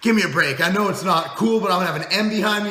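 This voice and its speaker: A man shouts in a raised, projected voice with a high pitch. There is audible room echo along with noticeable background noise. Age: 30s. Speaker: fitness company owner and video host. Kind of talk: casual vlog monologue. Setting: office, speaking to camera. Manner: loud, shouting; halting, many repeated words.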